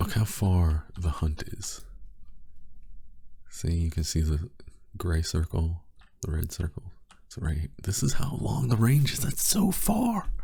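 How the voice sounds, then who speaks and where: Soft-spoken and somewhat breathy, a man with a very deep, low pitch and a dark, mellow tone talks at a fairly slow pace, his pitch swinging very widely between long, frequent pauses. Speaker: gaming youtuber. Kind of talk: casual gameplay commentary. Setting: home recording at night.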